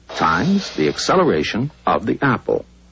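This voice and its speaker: A man's fairly high-pitched, fairly slow speech over noticeable background noise. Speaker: narrator. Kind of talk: educational narration.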